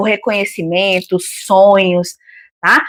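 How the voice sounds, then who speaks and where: A woman speaks at a fairly slow pace. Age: 50s. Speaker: retired co-host. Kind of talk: casual book discussion live stream.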